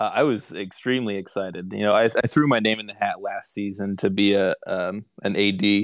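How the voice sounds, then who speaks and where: Against a quiet background, a man with an American accent uses a normal speaking voice, fairly low in pitch, at a moderate pace. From US Midwest (Indiana). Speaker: online sports game league director, car finance manager. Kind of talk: casual chat.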